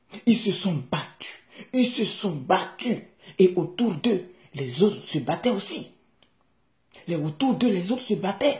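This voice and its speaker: A woman's dark, mellow, somewhat breathy voice with very wide pitch swings, a very slow pace, and long, frequent pauses, against a quiet background. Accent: Ivorian. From Ivory Coast. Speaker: vlogger telling a fable to his country. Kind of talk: bedtime-style storytelling, fable with a moral, addressed to the country. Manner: animated, vivid, conversational storyteller; earnest, passionate, hortatory at the end. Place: home room. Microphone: phone near.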